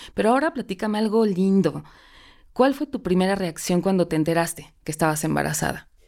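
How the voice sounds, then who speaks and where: A woman's plain, everyday voice at medium pitch, with lively intonation, a fairly quick pace and a very clean recording over a silent background. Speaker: podcast host. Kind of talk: interview.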